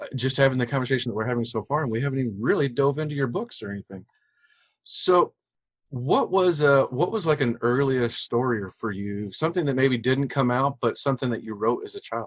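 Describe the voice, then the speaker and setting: At a fairly quick pace, a man talks in a plain, everyday voice at medium pitch with ordinary pitch variation. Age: 40s. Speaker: podcast host. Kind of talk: interview.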